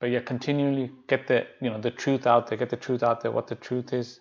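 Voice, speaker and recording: A soft-spoken man at a medium pitch. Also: quiet background. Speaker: Islamic teacher. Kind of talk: lecture. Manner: halting.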